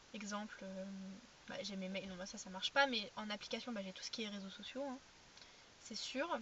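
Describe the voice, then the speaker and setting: A woman talks at a medium pitch, varying it in an ordinary way, with noticeable background noise behind her. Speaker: vlogger. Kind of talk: casual vlog chat. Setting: in a car. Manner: fast, sometimes stuttering.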